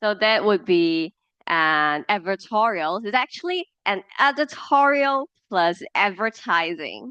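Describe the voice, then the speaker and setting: Delivered at a fairly slow pace in a Cantonese accent, the voice has a bright, sharp tone and lively intonation, with a dry, close sound and no echo. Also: woman. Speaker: media professional guest speaker. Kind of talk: lecture. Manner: halting, with fillers and repetitions.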